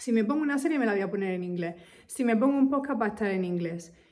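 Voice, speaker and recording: A woman of medium pitch sounds animated, using ordinary pitch variation amid audible room echo. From Spain. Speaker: English teacher. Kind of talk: casual talk to camera.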